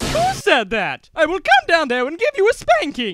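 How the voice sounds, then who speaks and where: An extremely high-pitched voice at a moderate pace. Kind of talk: comic overacting. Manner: shrill, theatrical, indignant.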